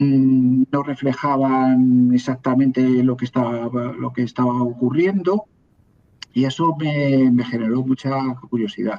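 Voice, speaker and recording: At a fairly slow pace, a man with a medium pitch and a dark, mellow tone speaks with fairly even intonation. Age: 60s. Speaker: historian. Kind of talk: interview. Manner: halting, with false starts and repetitions.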